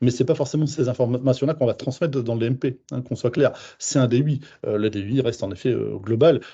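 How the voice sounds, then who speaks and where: A somewhat breathy man's voice of medium pitch, fairly quick, with ordinary pitch variation. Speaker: home care service manager. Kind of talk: webinar presentation. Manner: fast.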